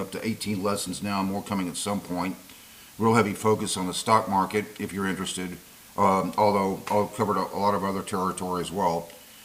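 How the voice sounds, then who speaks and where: A man speaks at a very fast pace. His fairly low voice holds a monotone, flat intonation. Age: 60s. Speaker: YouTube commentator and investing teacher. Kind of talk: monologue to camera.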